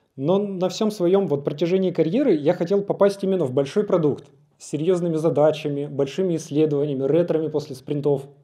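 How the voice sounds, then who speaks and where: A man's fairly high-pitched voice with a dark, mellow tone, a fairly quick pace and big swings in loudness against a quiet background. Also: ordinary pitch variation. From Russia, Yaroslavl region; Russia. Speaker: product designer; conference speaker. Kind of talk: conference talk. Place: hall. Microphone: handheld.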